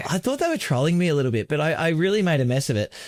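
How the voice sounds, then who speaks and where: Recorded very cleanly against a silent background with a dry, close sound and no echo, a man with an Australian accent makes very wide pitch swings. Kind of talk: casual podcast conversation.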